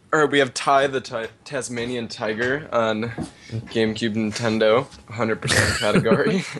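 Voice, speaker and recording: A man at medium pitch talks at a moderate pace with ordinary pitch variation, over noticeable background noise. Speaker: podcast co-host.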